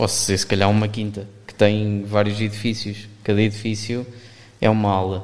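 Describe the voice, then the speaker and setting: A man's fairly low, monotone, flat voice at a moderate pace, with big swings in loudness and audible room echo. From Portugal, Aveiro area. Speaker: volunteer. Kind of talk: interview. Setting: studio.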